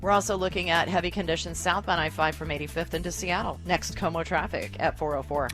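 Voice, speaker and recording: With music in the background, a woman speaks at a very fast pace with hardly any pauses. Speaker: radio traffic reporter. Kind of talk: traffic report.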